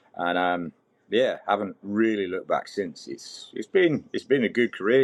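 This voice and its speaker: This man talks with a British accent. His pace is moderate. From Britain. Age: 40s. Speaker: mining fitter, army veteran. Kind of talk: podcast interview. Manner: halting, repeats words.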